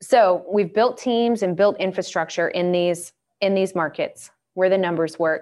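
A normal speaking voice from a woman with an American accent, medium in pitch, with fairly even intonation, over a quiet background. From US South, Atlanta, Georgia. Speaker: real estate investment advisor. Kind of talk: webinar presentation.

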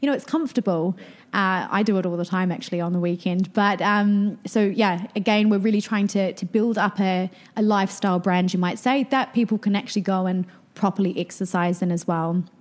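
At a fairly quick pace, a woman with a New Zealand accent talks at a medium pitch with fairly even intonation. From New Zealand (rural Canterbury). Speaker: marketing and PR entrepreneur. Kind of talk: interview conversation.

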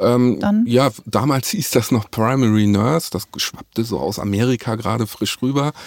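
Delivered at a moderate pace with hardly any pauses, the speech shows ordinary pitch variation. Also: man, medium pitch for a man. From northern Germany, Hamburg. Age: 40s. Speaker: nurse. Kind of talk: interview. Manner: halting.

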